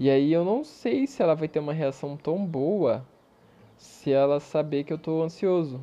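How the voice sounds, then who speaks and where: The man has a fairly high pitch with ordinary variation and speaks at a fairly slow pace. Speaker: podcast host. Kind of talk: personal monologue.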